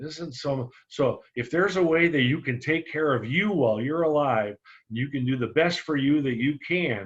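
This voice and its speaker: A man's fairly high voice shows ordinary pitch variation and moves at a moderate pace. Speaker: insurance sales trainer. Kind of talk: training webinar. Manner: animated.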